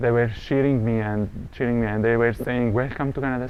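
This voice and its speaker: A man with an Arabic accent, medium pitch, fairly even intonation and a moderate pace. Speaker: refugee business owner. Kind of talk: interview testimony.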